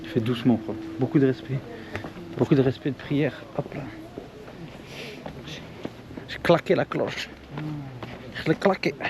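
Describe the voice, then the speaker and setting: Against noticeable background noise, a soft-spoken man talks at a fairly slow pace and a medium pitch with ordinary pitch variation, big swings in loudness, and long, frequent pauses. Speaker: travel vlogger. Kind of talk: casual vlog. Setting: outdoors. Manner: casual slangy.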